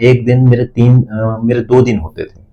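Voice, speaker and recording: A man's medium-pitched voice, dark and mellow in tone and somewhat breathy. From Uttarakhand hills. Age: 30s. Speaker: businessman. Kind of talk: interview. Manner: halting.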